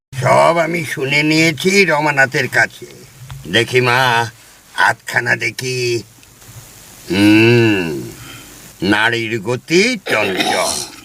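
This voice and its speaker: At a very slow pace, a man puts on a character voice at a medium pitch. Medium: audio drama. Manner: measured, paternal, muttering hums.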